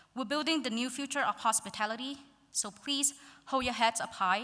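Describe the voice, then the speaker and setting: A woman with a Vietnamese accent, her tone bright and sharp and her intonation lively. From central Vietnam (Quang Ngai). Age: 20s. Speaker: graduating student speaker. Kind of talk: graduation speech.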